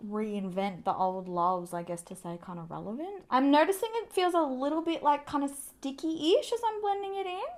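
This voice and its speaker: A woman with an Australian accent speaks at a moderate pace, barely pausing. Her voice is high-pitched, with very wide pitch swings and big shifts in loudness. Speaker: beauty vlogger. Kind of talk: makeup tutorial. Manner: casual, chatty.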